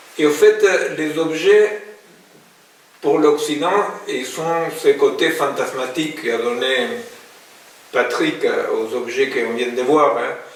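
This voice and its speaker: A man at a very slow pace with long, frequent pauses, amid audible room echo and noticeable background noise. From Argentina, Buenos Aires. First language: Spanish (speaking French). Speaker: philosopher and psychoanalyst. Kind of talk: public talk. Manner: hesitant, many fillers.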